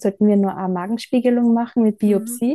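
The voice has a dark, mellow tone and a dry, close sound with no echo. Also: woman. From Austria, Styria (Bad Gleichenberg). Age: 30s. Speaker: graphic designer and traveller with coeliac disease. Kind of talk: casual interview.

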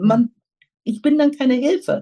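Her voice is fairly high in pitch, somewhat breathy, and dark and mellow in tone. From Germany, Lower Rhine region. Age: 50s. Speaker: pharmaceutical sales representative. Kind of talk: interview.

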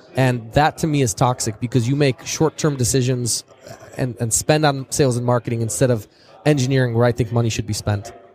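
A man with an American accent, medium pitch and fairly even intonation at a fairly quick pace, in a dry, close sound with no echo and music in the background. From US Midwest, Chicago. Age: 20s. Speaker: tech company founder and CEO. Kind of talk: interview. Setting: speakers' lounge at a trade fair.

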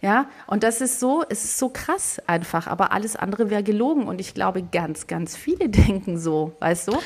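Over noticeable background noise, a woman speaks at a medium pitch with lively intonation and hardly any pauses. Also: moderate pace. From southern Germany. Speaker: cookbook author and photographer, podcast co-host. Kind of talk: casual chat.

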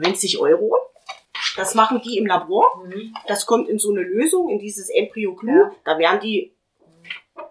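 A woman at a moderate pace, with long, frequent pauses and big swings in loudness. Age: 40s. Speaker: patient sharing fertility treatment experience. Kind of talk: casual group conversation, personal testimony.

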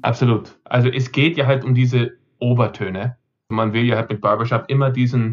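A man speaks at a medium pitch, keeping his intonation fairly even. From Austria, Vienna and Carinthia, with American roots. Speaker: barbershop singer and expert. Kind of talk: interview.

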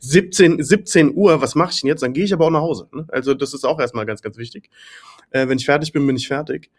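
This man's pitch is fairly high, with ordinary variation. He speaks at a very fast pace. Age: 30s. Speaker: agency owner and business consultant. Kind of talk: casual chat.

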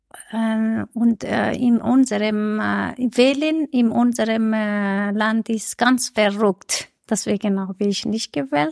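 A woman's fairly high voice at a very slow pace with hardly any pauses, dry and close with no echo. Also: ordinary pitch variation. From Iran. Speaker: community podcast host. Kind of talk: interview.

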